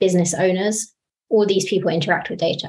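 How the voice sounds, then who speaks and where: In a British accent, a woman speaks at a medium pitch with fairly even intonation. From UK. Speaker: data engineer. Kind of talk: panel discussion.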